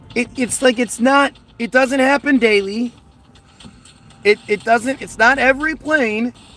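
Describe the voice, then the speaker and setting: A man's extremely high-pitched, raised and projected voice with an American accent, a fairly slow pace, long and frequent pauses, and noticeable background noise. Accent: American accent noticed by a viewer. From United States. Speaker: conspiracy livestreamer. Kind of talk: casual livestream chat reading viewer comments. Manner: halting with frequent repetitions.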